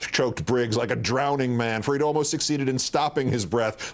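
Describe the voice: Text simply read out: plain reading aloud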